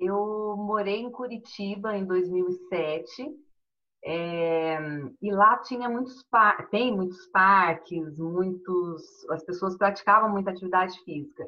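At a very slow pace, a woman talks at a medium pitch. Her pitch variation is ordinary. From Brazil, Minas Gerais (Poços de Caldas). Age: 40s. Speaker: amateur runner and bank employee. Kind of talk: casual chat.

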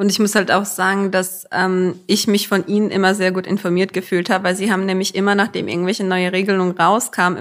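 A woman speaks at a medium pitch and a very fast pace with hardly any pauses. Her intonation stays monotone and flat. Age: young. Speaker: podcast host. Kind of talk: interview. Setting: town hall office.

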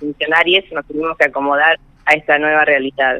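Using an ordinary speaking voice, a man talks at a fairly quick pace with a fairly high pitch. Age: 60s. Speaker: government official. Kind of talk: radio interview.

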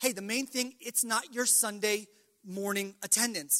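A man speaks in a high, raised, projecting voice. The sound is dry and close, without echo. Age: 20s. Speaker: pastor. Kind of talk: farewell testimony; sermon.

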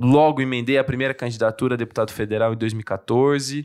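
A man with an unremarkable speaking voice talks at a moderate pace and medium pitch with fairly even intonation, in a very clean recording with a silent background. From interior of São Paulo state, Brazil (São Carlos). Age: 20s. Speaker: politician. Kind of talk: casual interview chat.

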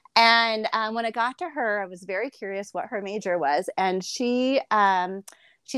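Heard in a very clean recording with a silent background and a dry, close sound with no echo, a woman with an ordinary speaking voice and an American accent has a fairly high pitch and lively intonation. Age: 40s. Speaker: fitness enthusiast. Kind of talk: casual chat.

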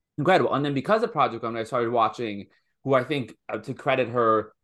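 A man with an American accent talks very fast at a medium pitch, with ordinary pitch variation over a quiet background. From US, Washington DC. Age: 20s. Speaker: comedian and show host. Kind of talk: casual chat.

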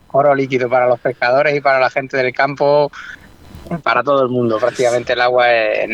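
A man at medium pitch and a fairly quick pace, monotone and flat, with a dry, close sound with no echo and noticeable background noise. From Extremadura, Spain. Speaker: angler. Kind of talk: casual chat.

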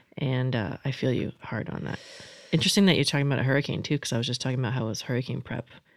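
A woman with an American accent talks at a very fast pace with vocal fry. Her very deep, low pitch shows ordinary variation. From Florida. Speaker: podcast host. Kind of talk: casual chat.

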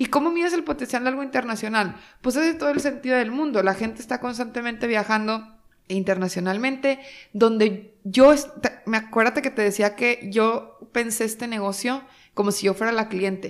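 A woman talks with ordinary pitch variation and a moderate pace in a plain, everyday voice. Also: fairly high pitch for a woman. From Mexico, Torreón, Coahuila. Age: 20s. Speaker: startup founder. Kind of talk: interview.

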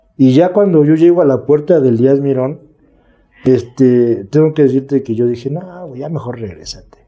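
In a Mexico City accent, a man speaks at a medium pitch and a moderate pace, his tone dark and mellow, with ordinary pitch variation. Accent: Mexico City Spanish (chilango). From Mexico City (Milpa Alta / Xochimilco). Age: 40s. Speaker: recovering addict, recovery group leader. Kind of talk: testimony. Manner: calm.

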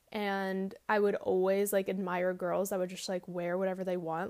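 Her medium-pitched voice stays monotone and flat as this woman speaks. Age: 20s. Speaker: podcast host. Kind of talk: solo podcast monologue. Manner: casual, filler-heavy.

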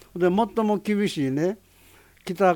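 A man is speaking. His pace is very slow, with ordinary pitch variation. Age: 80s+. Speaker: roof tile company president. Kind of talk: interview.

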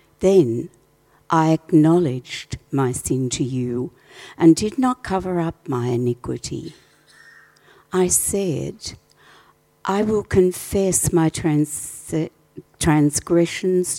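Very slow and broken by long, frequent pauses, a woman's very deep, low voice carries a dark, mellow tone and lively intonation. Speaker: scripture reader. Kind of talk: reading aloud. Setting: church.

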